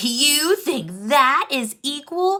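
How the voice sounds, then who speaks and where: A woman growls in a put-on character voice. Her pitch is high and swings very widely. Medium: read story.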